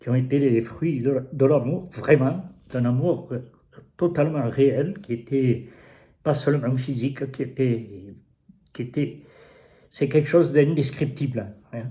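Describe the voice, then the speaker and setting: A somewhat breathy man with a dark, mellow tone, a very slow pace, and long, frequent pauses. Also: medium pitch for a man, ordinary pitch variation. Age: 80s+. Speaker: interviewee, host's father. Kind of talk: personal testimony. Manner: halting, repeating words.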